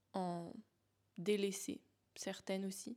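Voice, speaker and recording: Very slow speech in a dark, mellow tone comes through on a very clean recording with a silent background. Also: woman. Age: 20s. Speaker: life coach and podcast host. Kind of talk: casual solo monologue. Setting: home, in her apartment.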